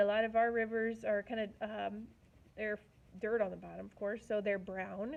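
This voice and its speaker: A woman's fairly high-pitched voice, an ordinary speaking voice. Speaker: art teacher. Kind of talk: tutorial.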